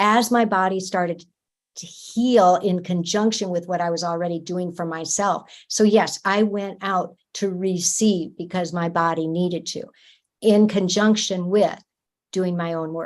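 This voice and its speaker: A woman speaks at a moderate pace with medium pitch and fairly even intonation, in an ordinary speaking voice. The background is quiet. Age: 60s. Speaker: energy medicine practitioner. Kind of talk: interview.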